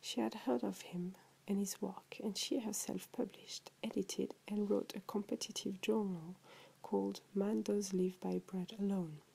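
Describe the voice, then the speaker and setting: Soft-spoken, a woman talks with a French accent. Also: moderate pace. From France. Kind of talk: short story reading. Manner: relaxing, soft.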